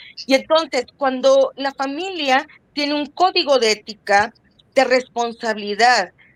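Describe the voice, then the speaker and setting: Spoken at a very slow pace, the voice sounds dry and close, with no echo at all. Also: woman. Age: 60s. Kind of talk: podcast interview.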